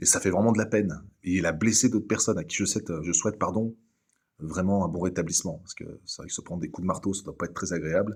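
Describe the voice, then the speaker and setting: Soft-spoken and fairly low-pitched, a man talks at a very fast pace. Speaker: YouTuber, satirical commentator. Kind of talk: satirical monologue. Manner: deadpan.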